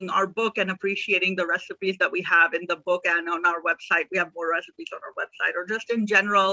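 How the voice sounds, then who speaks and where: A bright, sharp tone carries a Pakistani accent with monotone, flat intonation. The sound is dry and close with no echo. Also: woman. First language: Urdu. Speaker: author. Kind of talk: casual chat.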